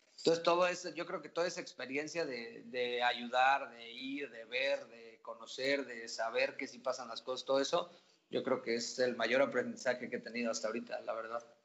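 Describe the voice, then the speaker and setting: Speaking at a moderate pace, a man with an ordinary speaking voice uses a medium pitch with ordinary pitch variation and big swings in loudness. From Mexico, Querétaro. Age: 20s. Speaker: esports team owner. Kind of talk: casual interview chat.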